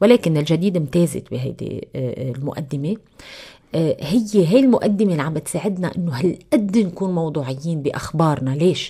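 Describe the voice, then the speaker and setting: Over a quiet background, a woman with a Lebanese accent speaks at a moderate pace in a fairly low pitch, somewhat breathy with a dark, mellow tone and lively intonation. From Lebanon. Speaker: TV news anchor. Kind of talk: radio interview. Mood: calm, explanatory. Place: studio. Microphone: studio mic.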